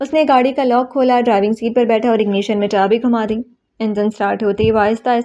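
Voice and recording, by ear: With fairly even intonation, a natural voice reads aloud over a quiet background.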